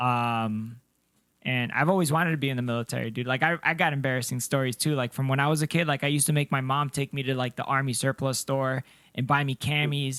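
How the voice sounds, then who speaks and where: A man at a very fast pace, in a dry, close sound with no echo, on a very clean recording with a silent background. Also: medium pitch for a man. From Colombia, moved to US as child. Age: 30s. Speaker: podcast co-host, army veteran. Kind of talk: casual chat. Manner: sounds young; animated.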